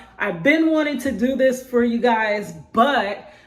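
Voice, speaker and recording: The speaker's pitch varies in an ordinary way. Noticeable background noise sits behind the voice. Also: woman. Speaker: spoken word poet; prison wife. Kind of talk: casual talk to camera.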